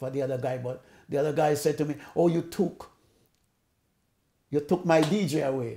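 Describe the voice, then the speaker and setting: This man's voice has a dark, mellow tone and fairly high pitch. His pitch varies in an ordinary way. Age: 80s+. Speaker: sound system owner. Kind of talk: interview answer.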